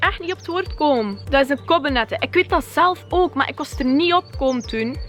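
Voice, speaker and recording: Over music in the background, a speaker with a West Flemish accent talks at a fairly quick pace. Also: woman. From West Flanders, Kortrijk. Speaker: YouTuber. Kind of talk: vlog rant. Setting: outdoors. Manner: animated.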